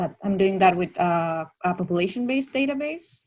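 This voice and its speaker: A woman with a somewhat breathy voice at medium pitch talks at a moderate pace with lively intonation on a very clean recording with a silent background. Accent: Chilean. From Chile. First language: Spanish. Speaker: PhD researcher, session co-chair. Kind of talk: casual panel discussion.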